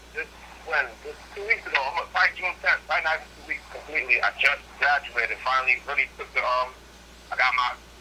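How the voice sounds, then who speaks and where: Man talking at a fairly quick pace over noticeable background noise. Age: 20s. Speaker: incarcerated guest. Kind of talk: casual interview.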